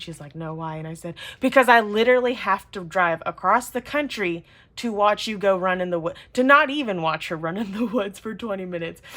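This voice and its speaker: On a very clean recording with a silent background, a woman with a Southern US accent sounds animated, talking at a fairly quick pace and medium pitch with ordinary pitch variation and big swings in loudness. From US South. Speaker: planner and journaling youtuber. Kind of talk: casual chat. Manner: chatty.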